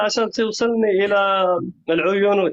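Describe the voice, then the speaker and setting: A man's high-pitched voice moves along at a very slow pace. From Morocco. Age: 40s. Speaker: caller. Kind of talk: casual chat.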